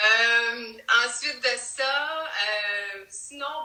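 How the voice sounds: In a Quebec accent, a woman speaks at a fairly high pitch with a bright, sharp tone and ordinary pitch variation, with audible room echo.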